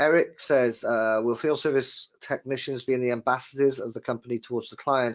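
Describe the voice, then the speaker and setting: A man's medium-pitched voice in a Welsh accent, fairly even in intonation, at a moderate pace. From Wales. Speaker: webinar host, trade magazine editor. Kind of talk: live webinar discussion. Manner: hesitant, many repeated words.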